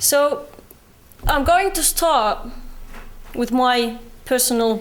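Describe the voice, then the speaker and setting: A woman speaks with a British accent and lively intonation. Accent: Palestinian British. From West Bank, Palestine. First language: Arabic. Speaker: activist speaker. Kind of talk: public talk. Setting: university lecture hall with audience.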